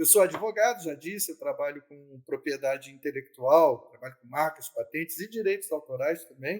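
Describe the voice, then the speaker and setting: A man's ordinary speaking voice, fairly high in pitch with ordinary pitch variation, at a moderate pace with hardly any pauses and big swings in loudness. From Brazil, Niterói (Rio de Janeiro state). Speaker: lawyer and debut novelist. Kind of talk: interview.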